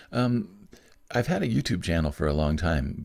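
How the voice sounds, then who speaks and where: A man with a very deep, low pitch speaks with vocal fry. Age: 60s. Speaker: musician and creative career coach. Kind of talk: podcast interview.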